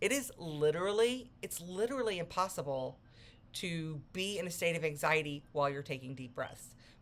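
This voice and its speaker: A woman speaks at a fairly low pitch. Her voice makes very wide pitch swings. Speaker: self-help coach. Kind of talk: motivational talk. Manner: fast; casual, conversational.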